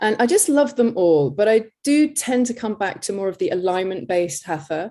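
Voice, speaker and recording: A woman with an English accent, her fairly high voice dark and mellow in tone, swinging very widely in pitch at a moderate pace, on a very clean recording with a silent background. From England. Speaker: yoga teacher. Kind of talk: interview.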